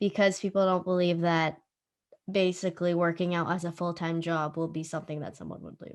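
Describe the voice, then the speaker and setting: Against a quiet background, a woman at medium pitch speaks at a moderate pace in an unremarkable speaking voice. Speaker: podcast host. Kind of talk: podcast host talk.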